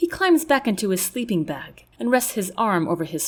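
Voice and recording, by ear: A passage is being read aloud in a natural voice.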